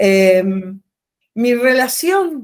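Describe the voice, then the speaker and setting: A woman with an Argentine accent speaks at a fairly high pitch. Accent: Rioplatense Argentine Spanish. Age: 60s. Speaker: artist and retired art teacher. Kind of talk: interview.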